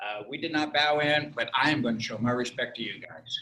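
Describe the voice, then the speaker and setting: Fairly even intonation accompanies a bright, sharp tone. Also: man. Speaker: karate instructor. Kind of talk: seminar closing talk. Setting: video call.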